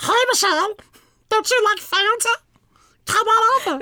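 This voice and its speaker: Pitched extremely high, a put-on character voice proceeds at a moderate pace. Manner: friendly, unintimidating, inviting.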